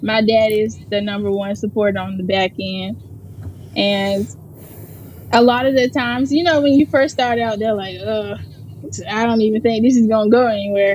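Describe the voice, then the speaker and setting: Over noticeable background noise, a woman with an American accent speaks at a fairly high pitch with ordinary pitch variation. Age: 20s. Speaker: personal chef. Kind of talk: interview.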